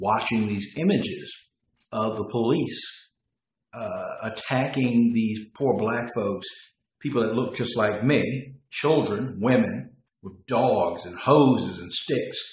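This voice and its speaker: With an American accent, a man speaks at a very slow pace in a somewhat breathy, medium-pitched voice with ordinary pitch variation. His loudness swings widely, and room echo is audible. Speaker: political commentator. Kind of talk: monologue commentary. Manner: halting.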